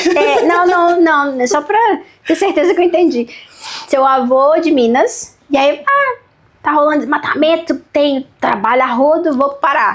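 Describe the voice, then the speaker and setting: The delivery moves at a fairly slow pace. Its intonation is lively. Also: woman, high pitch for a woman. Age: 30s. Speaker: podcast host. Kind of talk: interview.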